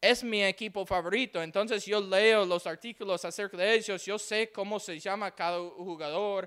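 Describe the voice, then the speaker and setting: A man's high voice with an English accent, fairly even intonation and a fairly slow pace, on a very clean recording with a silent background. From Texas, Houston. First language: English (speaking Spanish). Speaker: missionary preacher. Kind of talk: sermon. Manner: halting.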